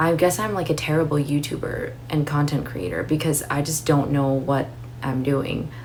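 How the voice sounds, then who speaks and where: Over noticeable background noise and audible room echo, a woman with a very deep, low pitch speaks at a moderate pace with fairly even intonation. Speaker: YouTuber, book and fragrance content creator. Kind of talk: casual monthly favorites vlog. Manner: calm, soothing.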